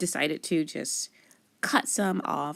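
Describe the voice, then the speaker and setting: Vocal fry runs through this voice as it moves along at a moderate pace. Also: woman. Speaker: card-making crafter. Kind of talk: crafting tutorial. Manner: casual, chatty.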